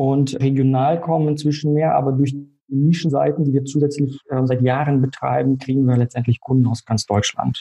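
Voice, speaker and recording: A man speaks at a medium pitch, somewhat breathy. His loudness stays very even. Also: moderate pace. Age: 30s. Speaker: insurance broker. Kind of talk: interview.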